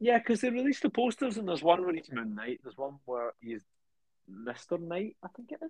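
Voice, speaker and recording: A man with a British accent, very fast in pace, very wide in his pitch swings, in a dry, close sound with no echo. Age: 20s. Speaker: podcast co-host. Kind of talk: casual chat.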